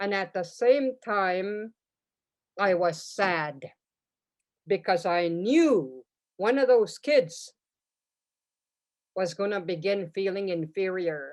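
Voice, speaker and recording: Against a quiet background, a woman of medium pitch speaks very slowly with lively intonation and long, frequent pauses. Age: 70s. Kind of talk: storytelling in a webinar.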